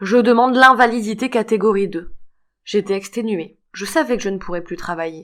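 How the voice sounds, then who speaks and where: The recording is very clean, with a silent background. A plain, everyday voice moves at a moderate pace with lively intonation. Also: woman. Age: 60s. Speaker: fibromyalgia patient giving testimony. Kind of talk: testimony.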